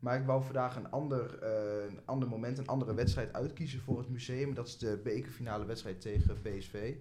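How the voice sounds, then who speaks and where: A man with a medium pitch and a somewhat breathy, dark, mellow tone talks at a fairly quick pace with hardly any pauses and fairly even intonation. Audible room echo colors the recording. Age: 20s. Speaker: student and football fan. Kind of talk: casual chat.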